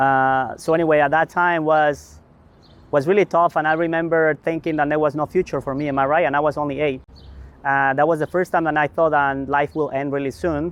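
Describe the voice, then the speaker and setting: A man talks at a fairly quick pace with a Mexican accent. His fairly high voice stays monotone and flat. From Mexico. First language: Spanish. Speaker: community development leader. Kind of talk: interview. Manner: halting.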